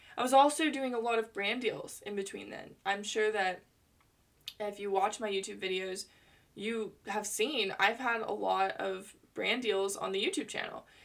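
In an American accent, an ordinary speaking voice moves at a moderate pace. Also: woman, medium pitch for a woman, ordinary pitch variation. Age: 20s. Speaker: podcast host. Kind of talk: personal monologue. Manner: chatty, frequent laughter.

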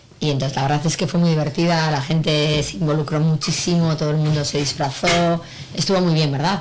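Over noticeable background noise, a woman with a very deep, low voice speaks fairly quickly with fairly even intonation. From Spain, Bilbao (Basque Country). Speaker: clothing brand owner and actress. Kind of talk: casual radio interview. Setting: venue during a live broadcast.

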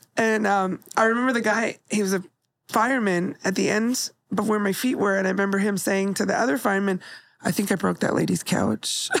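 At a fairly quick pace, a woman with an unremarkable speaking voice and a medium pitch talks with fairly even intonation and very even loudness. The recording is very clean, with a silent background. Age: 40s. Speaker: podcast co-host and comedian. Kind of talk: casual chat; testimony.

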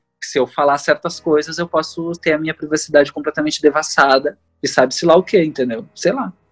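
Over music in the background, a man talks at a fairly quick pace with hardly any pauses, his fairly high pitch varying in an ordinary way, in a dry, close sound with no echo. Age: 30s. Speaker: singer, multi-instrumentalist and illustrator. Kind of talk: casual interview conversation.

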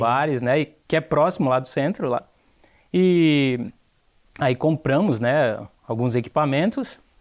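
Here is a man with a fairly high pitch, an ordinary speaking voice and ordinary pitch variation, talking at a moderate pace. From Brazil, Ceará (Aracati). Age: young. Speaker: entrepreneur. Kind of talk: TV interview.

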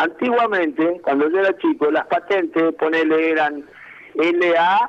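A man's high voice with ordinary pitch variation, at a fairly slow pace. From Argentina, Santa Fe province (Santo Tomé). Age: 60s. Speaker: former footballer. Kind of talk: interview.

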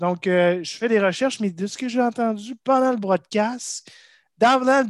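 A man talks at a moderate pace. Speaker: golf podcast co-host. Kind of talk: casual chat.

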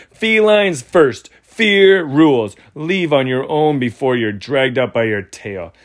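A man's put-on character voice, shrill and fairly high-pitched, at a fairly slow pace with hardly any pauses. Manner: screeching, threatening.

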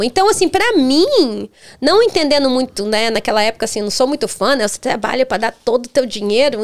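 With noticeable background noise, a woman speaks at a moderate pace in a high pitch, her pitch swinging very widely. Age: 40s. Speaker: charity founder. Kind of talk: casual chat.

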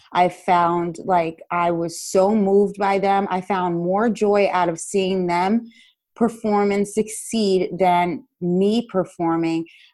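Speaking very slowly with a New Jersey accent, a woman has a medium-pitched voice with a dark, mellow tone and fairly even intonation over a quiet background. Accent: New Jersey American. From US, Paterson, New Jersey. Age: 30s. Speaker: dance educator. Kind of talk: interview.

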